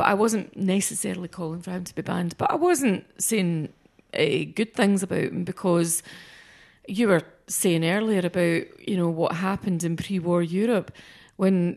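Speaking at a moderate pace and medium pitch, a woman talks in a Scottish accent. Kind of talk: casual chat.

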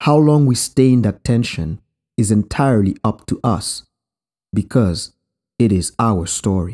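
A man with a Haitian accent speaks at a fairly slow pace, his medium pitch carrying a dark, mellow tone and lively intonation, broken by long, frequent pauses. The sound is dry and close with no echo, on a very clean recording over a silent background. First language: Haitian Creole. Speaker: podcast host. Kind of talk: reflective storytelling narration.

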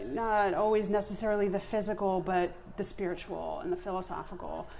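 In an American accent, a woman speaks at a moderate pace and a medium pitch with ordinary pitch variation. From Long Island, New York. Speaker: solopreneur, podcast guest. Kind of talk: casual conversational interview.

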